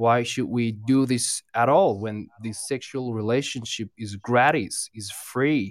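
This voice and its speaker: A man with an Iranian accent talks at a fairly slow pace and medium pitch, with ordinary pitch variation and hardly any pauses. His loudness swings widely, and the sound is dry and close with no echo. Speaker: caller. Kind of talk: casual phone chat. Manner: halting, hesitant.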